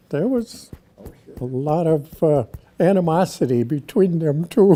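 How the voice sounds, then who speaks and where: With noticeable background noise behind him, a man in an American accent speaks at a fairly high pitch with lively intonation. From Wisconsin, US Midwest. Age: 90s. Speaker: local elder, army veteran. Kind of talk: oral history interview.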